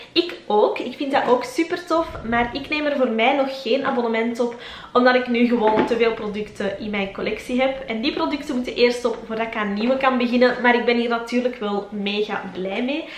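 In a room with audible echo, a woman with a Flemish accent speaks at a fairly quick pace in a high pitch with ordinary pitch variation. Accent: Flemish Dutch. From Belgium. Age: 20s. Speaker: lifestyle YouTuber. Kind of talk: casual vlog monologue. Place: home room.

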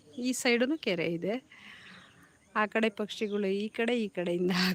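A woman with an ordinary speaking voice talks at a medium pitch with ordinary pitch variation, in a dry, close recording with no echo. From Karnataka village. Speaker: lifestyle vlogger. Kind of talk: casual live vlog walkthrough. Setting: outdoors.

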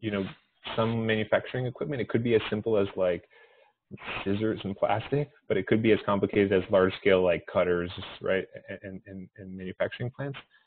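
A man with a fairly low voice talks at a very fast pace with fairly even intonation and big swings in loudness. He leaves long, frequent pauses. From Canada. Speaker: engineering professor. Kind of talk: research interview. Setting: video call.

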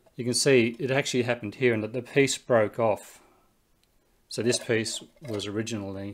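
A man talks with fairly even intonation. His pace is moderate. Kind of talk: tutorial. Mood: puzzled, calm. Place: home room.

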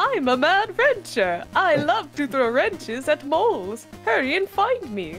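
A put-on character voice, high-pitched with very wide pitch swings and a fairly slow pace, over clear background music. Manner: mocking, goofy.

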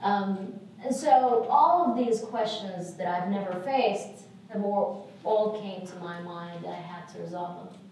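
A woman speaks at a fairly slow pace with an Arabic accent and ordinary pitch variation. There is light background noise and strong room echo. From Saudi Arabia. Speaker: lecturer, lawyer. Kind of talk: lecture. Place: hall.

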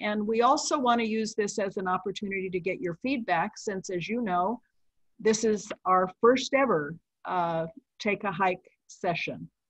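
A woman talks at a moderate pace with ordinary pitch variation. The sound is dry with no echo, over a quiet background. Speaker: session host. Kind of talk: meeting introduction. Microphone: video call.

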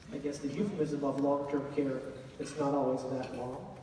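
A man's medium-pitched voice with a dark, mellow tone and little pitch movement, at a moderate pace, with audible room echo.

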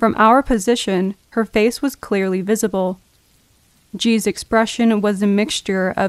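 A woman speaks at a fairly slow pace with fairly even intonation. The sound is dry with no echo, the background quiet. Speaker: story narrator. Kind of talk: horror story narration for sleep. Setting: rain sounds in background.

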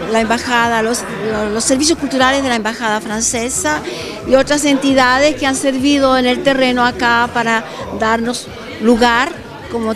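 Music plays behind a woman with a high voice at a moderate pace. She keeps a fairly even intonation and takes long, frequent pauses. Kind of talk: interview answer. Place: hall. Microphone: handheld.

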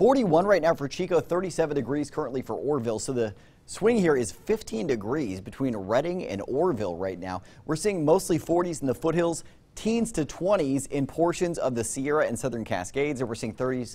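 A man's dark, mellow tone at a moderate pace, with very wide pitch swings. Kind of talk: weather forecast presentation. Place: studio. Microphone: lapel.

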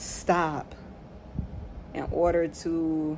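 This woman's voice sits fairly low, with monotone, flat intonation. Noticeable background noise runs behind her. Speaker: vlogger. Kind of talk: casual reflective vlog chat. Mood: reflective, calm. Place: home room. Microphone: phone near.

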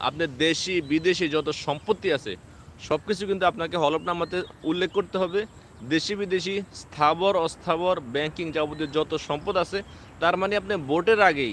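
This man's pitch sits high. His pitch variation is ordinary. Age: 20s. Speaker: political commentator on YouTube. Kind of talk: live-stream political monologue. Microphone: no microphone, speaking into device.

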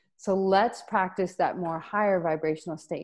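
A woman's fairly low-pitched voice, an ordinary speaking voice, with ordinary pitch variation at a moderate pace against a quiet background. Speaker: energy coach and Reiki master. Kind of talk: guided meditation; webinar talk. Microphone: earbuds.

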